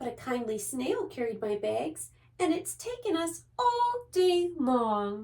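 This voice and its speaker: A woman does a put-on character voice, high-pitched and fairly slow. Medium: read story.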